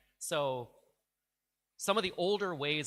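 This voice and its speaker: Bright, sharp tone from a man with a New York accent, very clean recording, silent background. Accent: New York American English. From US, New York. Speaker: diplomat. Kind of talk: informal talk to students.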